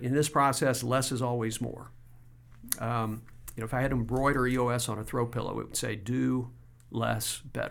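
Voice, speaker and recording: A man speaks fairly quickly at a medium pitch. His intonation is fairly even, in a normal speaking voice. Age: 60s. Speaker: business coach. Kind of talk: casual interview conversation.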